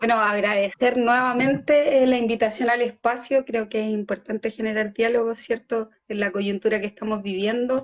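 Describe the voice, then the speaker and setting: Fairly even intonation from a woman speaking at a moderate pace. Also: fairly high pitch for a woman, hardly any pauses. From Chile, Talca. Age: 20s. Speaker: party leader and feminist activist. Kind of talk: radio interview. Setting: live online radio stream.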